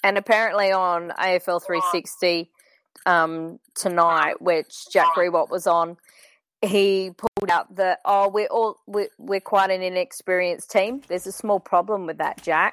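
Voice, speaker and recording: A woman's medium-pitched voice, fairly slow and fairly even in intonation, in a dry, close sound with no echo. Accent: Australian. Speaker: podcast panelist. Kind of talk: casual chat about sport.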